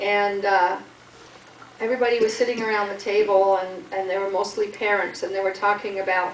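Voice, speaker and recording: A medium-pitched woman at a fairly quick pace, with monotone, flat intonation, audible room echo, and noticeable background noise. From Canada. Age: 60s. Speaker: charity fundraiser. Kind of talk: talk to a group about her charity.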